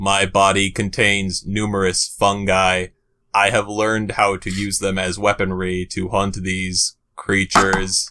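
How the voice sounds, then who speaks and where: A man uses a put-on character voice, fairly low in pitch and deadpan in tone. His intonation is monotone and flat, and his pace fairly slow. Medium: read story. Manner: monotone, formal, deadpan.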